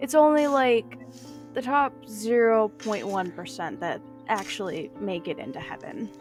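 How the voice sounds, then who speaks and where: Music plays behind speech delivered at a fairly slow pace. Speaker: narrator. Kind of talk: horror story narration.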